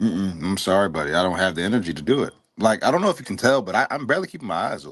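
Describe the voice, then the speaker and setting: Talking at a very fast pace, a man uses a fairly low pitch and lively intonation, with big swings in loudness. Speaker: live stream movie discussion co-host. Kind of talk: casual chat. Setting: online live stream. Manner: halting.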